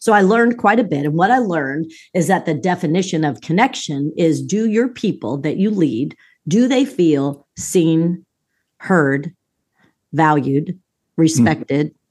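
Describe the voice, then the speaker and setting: A woman speaks at a fairly slow pace in a fairly low voice with very wide pitch swings. The background is quiet. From US East Coast, moved often. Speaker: executive coach and business professor. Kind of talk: interview conversation.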